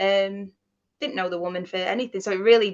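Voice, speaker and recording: Speaking at a fairly quick pace, a woman with a Mancunian accent talks at a medium pitch. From Manchester area, England. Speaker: paranormal investigator. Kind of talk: casual interview, storytelling.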